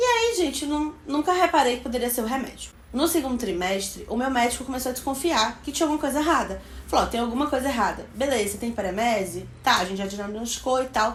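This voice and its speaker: The delivery is fairly quick with lively intonation. Noticeable background noise runs underneath. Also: woman. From Bahia, Brazil. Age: 20s. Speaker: beauty vlogger. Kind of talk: casual talk to camera.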